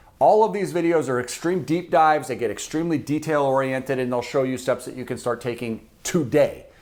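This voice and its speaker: With an American accent, a man talks at medium pitch and moderate pace with lively intonation. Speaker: personal finance YouTuber. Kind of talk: direct-to-camera explainer video. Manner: loud, fired-up.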